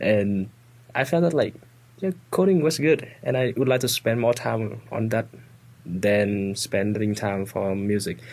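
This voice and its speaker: A man speaks with a Vietnamese accent. His intonation is lively. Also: medium pitch for a man, fairly slow pace. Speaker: student guest. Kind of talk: casual chat. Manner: halting.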